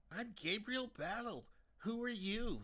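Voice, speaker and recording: Using a put-on character voice, a man talks at a fairly slow pace in a high pitch with ordinary pitch variation. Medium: read story. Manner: casual, rueful.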